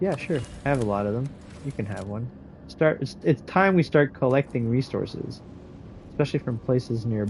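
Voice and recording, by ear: Over faint music in the background, a man talks at a medium pitch with lively intonation.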